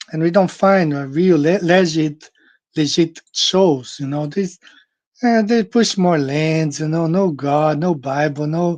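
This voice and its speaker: Someone with a Portuguese accent speaks at a fairly slow pace. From Brazil. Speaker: flat earth show host. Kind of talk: casual monologue. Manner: halting, with many fillers and repetitions.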